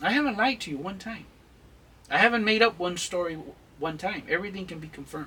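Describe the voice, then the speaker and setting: Over noticeable background noise, a man talks at a very fast pace with a high pitch and lively intonation. His voice is raised and projected, with big swings in loudness. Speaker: channel host, mentor on Chicano culture. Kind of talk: advice-giving interview. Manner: intense, emphatic; halting with fillers.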